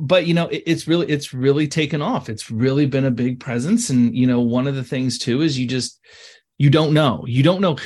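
A man with an ordinary speaking voice talks at a medium pitch, his pitch varying in an ordinary way over a quiet background. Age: 40s. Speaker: real estate team leader. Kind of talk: casual interview.

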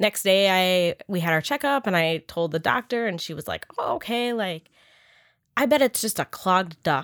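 An ordinary speaking voice from a woman, at a medium pitch with lively intonation and a moderate pace. The sound is dry and close with no echo, on a very clean recording with a silent background. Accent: American. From Upper Michigan. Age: 30s. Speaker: breast cancer survivor. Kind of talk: interview.

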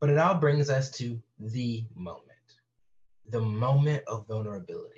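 A man with a medium-pitched, somewhat breathy voice talks at a moderate pace with ordinary pitch variation and long, frequent pauses. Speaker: podcast host; inclusion educator and counseling student. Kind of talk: scripted-style podcast trailer intro. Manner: candid, self-deprecating.

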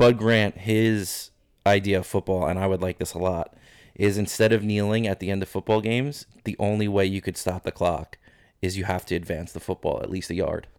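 This man has a plain, everyday voice, fairly low in pitch, with fairly even intonation and a fairly quick pace, recorded very cleanly against a silent background with a dry, close sound and no echo. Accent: American. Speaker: podcaster guest. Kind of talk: casual chat. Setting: studio.

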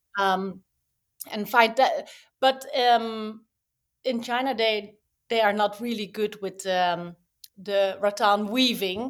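A woman's fairly high voice at a very slow pace, with fairly even intonation and long, frequent pauses, in a very clean recording with a silent background. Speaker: toy brand founder. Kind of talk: interview conversation. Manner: halting, hesitant.

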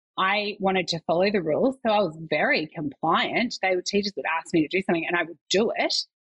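A woman speaks at medium pitch. She has an Australian accent. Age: 30s. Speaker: nurse and mother. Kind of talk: casual chat.

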